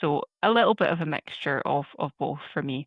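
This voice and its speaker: A woman's very deep, low voice in a Scottish accent. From Scotland, Prestwick (Ayrshire). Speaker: systems engineer. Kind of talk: podcast interview.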